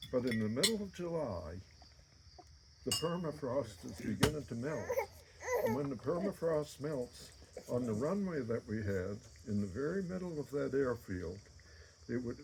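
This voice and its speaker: With very wide pitch swings around a medium pitch, a man speaks at a moderate pace with long, frequent pauses over noticeable background noise. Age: 80s+. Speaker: birthday honoree giving a speech. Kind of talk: personal storytelling speech. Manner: halting.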